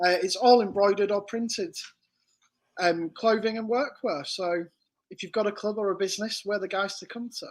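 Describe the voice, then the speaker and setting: With a northern English accent, a man speaks at a fairly quick pace in a high pitch, showing ordinary pitch variation and big swings in loudness. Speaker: embroidery business owner. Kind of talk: casual interview chat.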